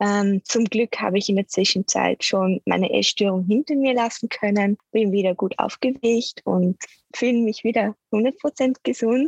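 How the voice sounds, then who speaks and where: Somewhat breathy and very even in loudness, the voice moves at a fairly slow pace with ordinary pitch variation, in a dry, close sound with no echo. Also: woman, fairly high pitch for a woman. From Austria and Switzerland (mountains). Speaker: nutrition expert and medical student. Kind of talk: interview. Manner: hesitant, many filler sounds.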